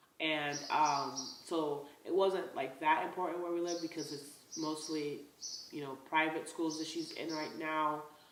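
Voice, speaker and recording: Audible room echo surrounds a woman with a very deep, low pitch. She speaks at a fairly slow pace with monotone, flat intonation. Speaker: lifestyle vlogger. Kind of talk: casual vlog talk.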